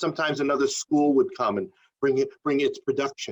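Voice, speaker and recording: A man talks with a New York accent. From New York City (Queens). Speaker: playwright and theatre company founder. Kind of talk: interview. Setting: video interview.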